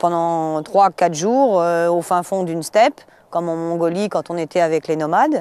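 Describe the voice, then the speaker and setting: A woman's voice, dark and mellow in tone, moves along fairly slowly. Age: 40s. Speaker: traveller. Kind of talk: interview. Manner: halting, many hesitations.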